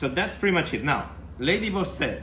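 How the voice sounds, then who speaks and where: With a Spanish accent and lively intonation, a man speaks amid audible room echo. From Spain. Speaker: tabletop wargaming youtuber. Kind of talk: battle report commentary. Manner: casual, animated.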